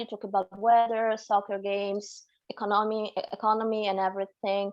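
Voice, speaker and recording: Woman with an Italian accent, fairly high in pitch, at a moderate pace. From Naples, Italy. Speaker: tour guide. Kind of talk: interview answer.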